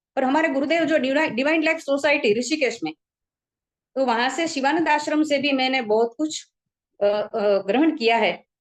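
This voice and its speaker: Her voice high-pitched, a woman speaks with lively intonation. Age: 70s. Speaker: retired teacher giving a talk. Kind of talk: informal talk to a community group. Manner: halting, with many fillers.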